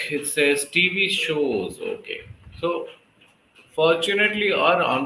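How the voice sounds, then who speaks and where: Noticeable background noise surrounds a man speaking with an Indian accent. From Delhi, India. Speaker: public speaking coach and English tutor. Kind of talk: conversation practice session.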